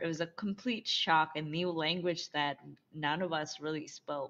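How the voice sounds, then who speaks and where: A woman talks at a fairly slow pace with fairly even intonation. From Bangladesh, moved to US as teen. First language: Bengali. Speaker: somatic and intimacy coach. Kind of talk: interview, personal story.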